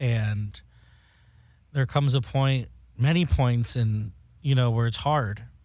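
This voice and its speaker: A man with an American accent speaks very slowly in a somewhat breathy, medium-pitched voice with ordinary pitch variation and long, frequent pauses, on a very clean recording with a silent background. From South Florida. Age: 20s. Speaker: beauty products maker and drag performer. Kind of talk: casual chat.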